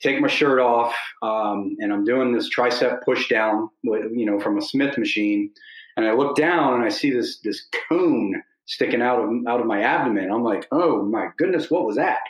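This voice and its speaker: A man talks at a moderate pace with a medium pitch and ordinary pitch variation. He has a plain, everyday voice. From Philadelphia area. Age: 40s. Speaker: client and former Marine. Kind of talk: interview.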